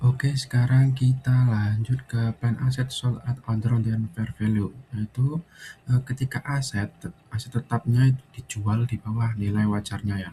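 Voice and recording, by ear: With a dark, mellow tone and a slightly husky edge, a man speaks at a medium pitch and moderate pace, his intonation fairly even.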